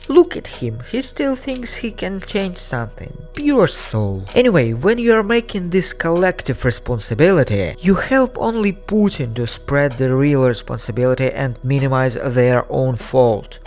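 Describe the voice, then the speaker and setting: With music in the background, a man in a Russian accent talks at a moderate pace with hardly any pauses. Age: 20s. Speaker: digital storyteller. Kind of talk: personal video essay.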